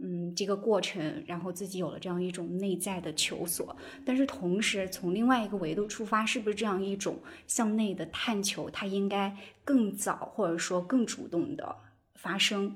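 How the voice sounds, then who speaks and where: A woman's somewhat breathy, medium-pitched voice at a moderate pace, with ordinary pitch variation. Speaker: podcast host. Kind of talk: casual chat. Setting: video call.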